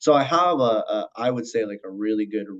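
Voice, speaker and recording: A man speaks in an American accent. His pitch varies in an ordinary way. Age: 30s. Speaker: mental health counselor. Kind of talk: podcast interview. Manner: many fillers, halting.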